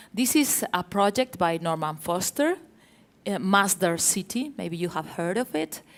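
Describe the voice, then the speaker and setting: The speaker has a Spanish accent and lively intonation. The pace is fairly slow. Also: woman, medium pitch for a woman. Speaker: architecture journalist. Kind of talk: panel talk with slides. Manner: hesitant, many fillers.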